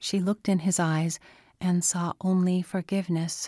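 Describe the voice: Fairly even intonation with plain reading aloud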